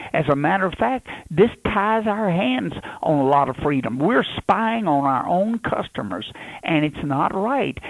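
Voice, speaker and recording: A fairly slow Louisiana accent with very wide swings in pitch. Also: man, fairly high pitch for a man. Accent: Southern US (Louisiana). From Louisiana, USA. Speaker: politician, presidential candidate. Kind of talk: radio interview answer.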